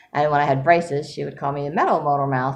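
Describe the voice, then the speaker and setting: With audible room echo, a woman speaks at a fairly quick pace in a very deep, low voice. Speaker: writer vlogger. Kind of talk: casual vlog monologue. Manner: fast; higher pitch when excited.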